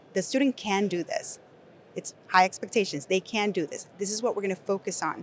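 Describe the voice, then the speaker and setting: This woman talks fairly quickly. Her voice is medium in pitch. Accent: Nicaraguan. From Nicaragua. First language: Spanish. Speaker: education company executive. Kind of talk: podcast interview. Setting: conference venue.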